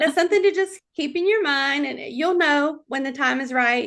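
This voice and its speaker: With a North Carolina accent, a woman speaks in a bright, sharp tone against a quiet background. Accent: Southern US (North Carolina). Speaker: chat show host and author. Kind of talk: casual interview chat.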